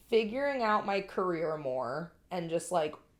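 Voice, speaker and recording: Her voice is loud, and this woman's pitch swings very widely. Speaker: podcast co-host. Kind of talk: casual chat.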